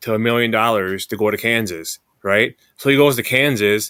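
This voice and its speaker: A man speaks at medium pitch and a moderate pace, his tone bright and sharp. The recording is very clean with a silent background. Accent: Upper Midwest. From Madison, Wisconsin. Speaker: podcast host. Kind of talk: casual sports podcast conversation.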